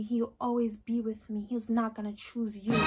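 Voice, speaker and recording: Music plays in the background. A woman speaks at a fairly high pitch and a moderate pace. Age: young. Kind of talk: casual storytime talk to camera. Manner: emotional, outspoken.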